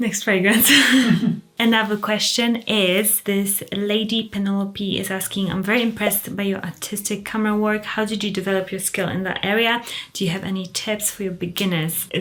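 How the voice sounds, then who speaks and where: Soft-spoken and at a moderate pace, a woman talks at a medium pitch with monotone, flat intonation. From Poland, moved to England at thirteen. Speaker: fragrance and luxury YouTuber. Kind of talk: casual Q&A video. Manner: quiet, soft-spoken.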